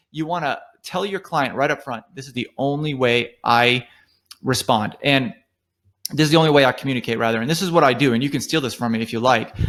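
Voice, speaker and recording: At a fairly quick pace and medium pitch, a man talks with ordinary pitch variation in a very clean recording with a silent background. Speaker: online business instructor. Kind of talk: tutorial. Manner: fast; casual, filler-heavy.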